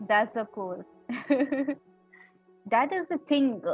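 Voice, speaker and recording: Over music in the background, a woman speaks fairly slowly with lively intonation. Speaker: podcast host, radio anchor. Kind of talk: podcast interview host.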